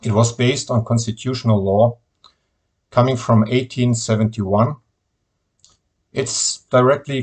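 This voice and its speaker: A man with a German accent speaks at a moderate pace and a medium pitch. His voice is somewhat breathy, with monotone, flat intonation. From Germany. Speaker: political activist. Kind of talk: video message.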